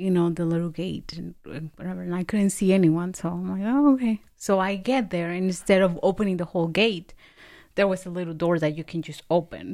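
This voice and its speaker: On a very clean recording with a silent background, a woman with a Spanish accent speaks at a fairly quick pace in a dark, mellow tone, her fairly low pitch showing ordinary variation. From Mexico. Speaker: podcast co-host. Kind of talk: casual chat.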